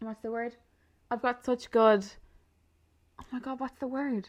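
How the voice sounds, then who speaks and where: A woman with an Irish accent and fairly even intonation, over a quiet background. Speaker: podcast host. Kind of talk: casual chat. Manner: fast talker.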